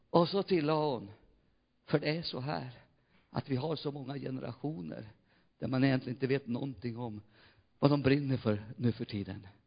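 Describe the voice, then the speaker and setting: Somewhat breathy and at a medium pitch, a man speaks with long, frequent pauses. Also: ordinary pitch variation, moderate pace. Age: 60s. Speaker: pastor. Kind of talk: sermon. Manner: animated.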